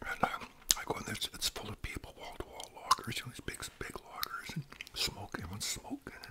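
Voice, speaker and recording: A man talks fairly quickly while loud background noise fills the recording. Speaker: storyteller. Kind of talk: casual vlog storytelling while eating. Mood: relaxed, amused. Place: home room. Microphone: studio mic.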